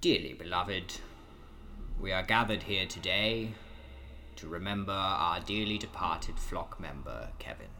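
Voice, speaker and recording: Using a put-on character voice, a man speaks in a solemn tone at fairly low pitch and moderate pace, with long, frequent pauses and clear background noise. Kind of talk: mock church liturgy. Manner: solemn, sanctimonious.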